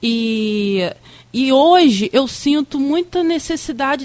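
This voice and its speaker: A woman speaks with a high pitch. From Campos dos Goytacazes, Rio de Janeiro state, Brazil. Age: 30s. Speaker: museum director. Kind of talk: radio interview.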